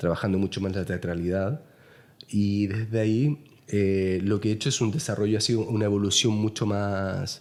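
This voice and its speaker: Fairly even intonation and very even loudness, with a Chilean accent. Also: man, fairly low pitch for a man, moderate pace. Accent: Chilean, noticeable. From Chile, Santiago. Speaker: painter. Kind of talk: interview conversation. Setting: artist's studio. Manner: halting, many fillers.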